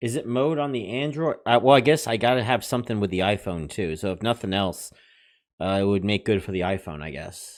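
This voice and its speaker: A loud, fairly low male voice with lively intonation at a fairly quick pace, on a very clean recording with a silent background. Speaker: livestream host reviewing money-making apps. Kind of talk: casual livestream chat reading viewer comments.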